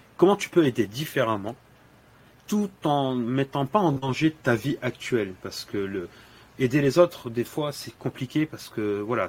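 In an ordinary speaking voice, a man talks at a fairly slow pace with medium pitch and lively intonation. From Senegal (Dakar). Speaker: LinkedIn influencer and dry-cleaning shop owner. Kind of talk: podcast interview. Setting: in his dry-cleaning shop.

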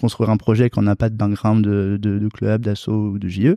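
The man's voice is fairly low, and he keeps a moderate pace. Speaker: veterinary student and entrepreneur. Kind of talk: interview. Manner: halting.

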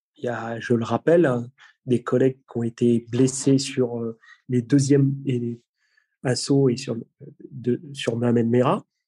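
The tone is dark and mellow, delivered in a flat monotone at a fairly slow pace with long, frequent pauses. The sound is dry and close, with no echo. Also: man, medium pitch for a man. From Brittany, France. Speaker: police tactical unit commander. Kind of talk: interview.

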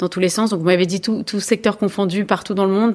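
Here is a woman with an unremarkable speaking voice. Her pitch is medium and her intonation fairly even. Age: 40s. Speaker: bank co-founder and executive. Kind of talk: interview. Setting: in person at her company's offices.

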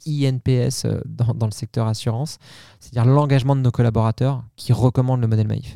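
The sound is dry and close with no echo as a man talks at a moderate pace with fairly even intonation. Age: 40s. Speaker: marketing executive. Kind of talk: interview. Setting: on location at a company venue. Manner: hesitant, many repeated words.

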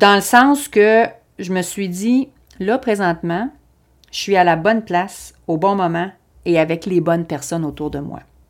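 With long, frequent pauses, a woman talks at a fairly slow pace in a medium pitch with ordinary pitch variation, in a very clean recording with a silent background. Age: 50s. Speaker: podcast host, Pilates and fitness coach. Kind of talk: personal development podcast monologue. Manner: hesitant, with frequent fillers and repetitions.

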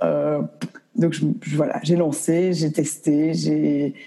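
A woman speaks with a very deep, low pitch and a dark, mellow tone. Vocal fry runs through her voice. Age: 20s. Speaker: entrepreneur. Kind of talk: interview. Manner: halting.

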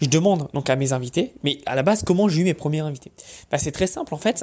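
At a fairly quick pace, a man with a fairly high pitch talks in an ordinary speaking voice with ordinary pitch variation. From France, Paris. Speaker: online business podcaster. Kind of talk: casual monologue.

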